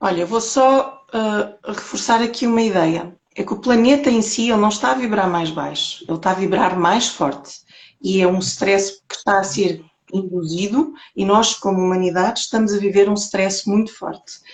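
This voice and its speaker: At a moderate pace, a woman talks in a medium-pitched voice. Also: ordinary pitch variation. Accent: European Portuguese. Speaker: holistic therapist. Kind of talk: interview talk on spirituality.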